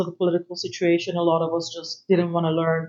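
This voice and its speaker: A woman at a medium pitch with a Persian accent. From Iran. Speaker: panelist. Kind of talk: panel discussion.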